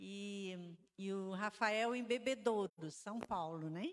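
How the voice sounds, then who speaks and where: Though her pace is very slow, the woman's intonation is lively. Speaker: pastor's wife. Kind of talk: testimony.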